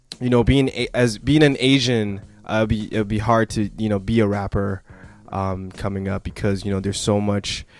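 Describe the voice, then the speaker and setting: With music in the background, a man speaks at a moderate pace in a fairly low pitch with fairly even intonation. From Canada, east side of Vancouver. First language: not English (language not named). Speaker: rapper. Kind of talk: radio interview. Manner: halting, many fillers.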